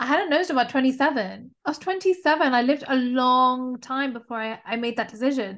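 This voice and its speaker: With a British accent, a woman talks at a moderate pace with hardly any pauses, her high pitch showing ordinary variation. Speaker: podcaster. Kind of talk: casual chat. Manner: candid, profane.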